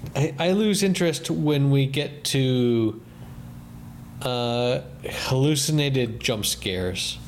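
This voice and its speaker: A man speaks very slowly in a fairly high voice, his intonation lively and his loudness very even. Noticeable noise sits in the background. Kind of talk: casual chat.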